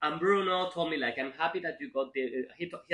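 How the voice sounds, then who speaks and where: Talking very fast in a fairly high voice with a Spanish accent, a man shows ordinary pitch variation. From Spain. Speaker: film writer. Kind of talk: interview. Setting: film festival. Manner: halting.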